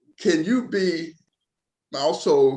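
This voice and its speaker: A man speaks with a Southern US accent. His pitch swings very widely. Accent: Southern US (Georgia). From Georgia, US South. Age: 70s. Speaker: community panelist living with HIV. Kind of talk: panel discussion.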